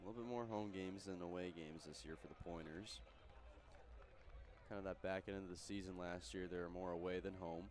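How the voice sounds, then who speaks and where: A man with a very deep, low pitch talks at a fairly quick pace, yet leaves long, frequent pauses. Music plays in the background, and room echo is audible. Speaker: sports play-by-play announcer. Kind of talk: pregame commentary. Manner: flat, like reading a book.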